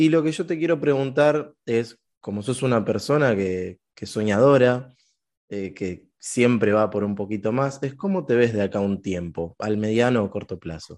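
In an ordinary speaking voice, a man at medium pitch speaks with lively intonation against a quiet background. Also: fairly slow pace. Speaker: podcast co-host. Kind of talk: casual interview chat.

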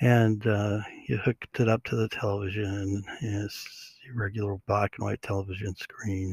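Somewhat breathy, a man speaks at a fairly low pitch in a dry, close sound with no echo. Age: 60s. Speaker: podcast host. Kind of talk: solo podcast monologue. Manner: halting, many fillers.

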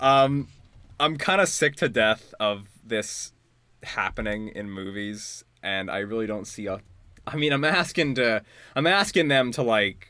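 A man's fairly low, bright and sharp voice with lively intonation at a moderate pace, in a very clean recording with a silent background. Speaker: podcast host. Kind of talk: casual chat.

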